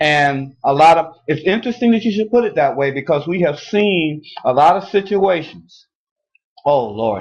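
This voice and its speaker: A man talks at a moderate pace in an ordinary speaking voice, pitched fairly high. His intonation is lively, and the background is quiet. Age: 60s. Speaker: talk show co-host. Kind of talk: casual chat.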